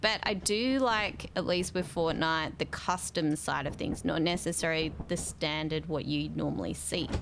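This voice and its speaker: In an Australian accent, a woman speaks at a fairly slow pace. Her pitch is fairly low. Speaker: gaming streamer. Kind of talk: casual live-stream chat.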